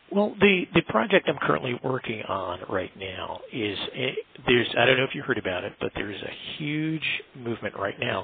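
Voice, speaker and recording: At medium pitch and a moderate pace, a man with an American accent makes very wide pitch swings against noticeable background noise. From US, Washington, D.C. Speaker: sculptor and artist. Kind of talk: interview. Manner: halting, many fillers and repeats.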